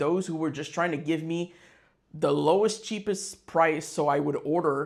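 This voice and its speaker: A man with a French Canadian accent, fairly high-pitched, at a moderate pace with fairly even intonation. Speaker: business owner, fightwear brand founder. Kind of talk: casual business vlog. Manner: halting, many fillers and repetitions.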